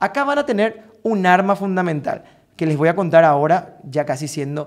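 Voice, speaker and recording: A man with a Paraguayan accent, high-pitched, at a moderate pace, over a quiet background. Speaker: vocal coach. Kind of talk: tutorial. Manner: animated. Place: home room. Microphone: studio mic.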